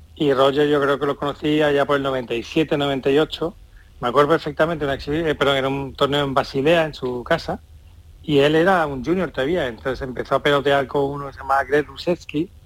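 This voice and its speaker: In a plain, everyday voice, a man speaks at a moderate pace with fairly high pitch and fairly even intonation. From Andalusia, Jerez. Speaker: tennis communication professional. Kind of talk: radio interview.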